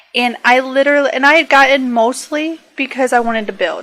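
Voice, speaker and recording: An American accent at a fairly quick pace, with ordinary pitch variation and noticeable background noise. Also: woman. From northern US, near Canada. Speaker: gaming YouTuber. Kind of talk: casual Q&A chat. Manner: clear careful diction; hesitant, many fillers.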